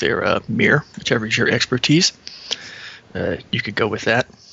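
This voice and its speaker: A man's voice over noticeable background noise. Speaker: tabletop game player. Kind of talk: casual game chat.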